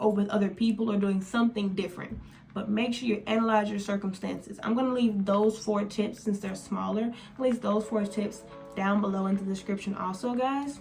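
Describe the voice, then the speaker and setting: Her pace is fairly quick. Noticeable background noise accompanies the woman throughout. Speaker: lifestyle vlogger. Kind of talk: casual monologue to camera. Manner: fast.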